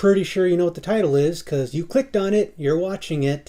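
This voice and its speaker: The voice is quiet and moves at a moderate pace. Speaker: YouTuber. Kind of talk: casual monologue vlog. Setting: home at night. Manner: kept quiet.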